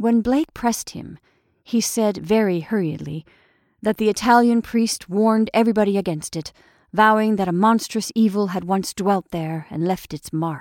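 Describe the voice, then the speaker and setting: A woman with an ordinary speaking voice talks at a medium pitch with ordinary pitch variation, captured in a very clean, dry, close recording with a silent background and no echo. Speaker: audiobook narrator. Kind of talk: horror audiobook reading, gothic prose narrated in hushed, ominous tones. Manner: slow, deliberate, suspenseful, building dread.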